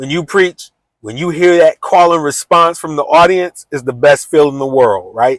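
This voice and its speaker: A man's high-pitched voice with ordinary pitch variation, dry and close with no echo. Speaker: preacher and YouTuber. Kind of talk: talking head video monologue. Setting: recording alone on camera. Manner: occasional stutter and mispronunciations.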